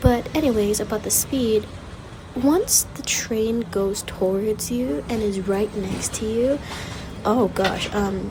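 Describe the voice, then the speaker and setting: A woman with a fairly high pitch speaks quietly at a fairly slow pace, with ordinary pitch variation. There is noticeable background noise. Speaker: travel vlogger. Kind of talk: vlog voiceover commentary. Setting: university library reading pavilion. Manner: quieter; casual, filler-heavy.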